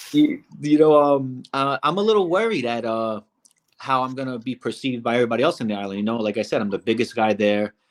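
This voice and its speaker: A man talks very fast with a slight Brooklyn accent. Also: medium pitch for a man, ordinary pitch variation. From Brooklyn, New York. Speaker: reality show contestant. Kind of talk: interview.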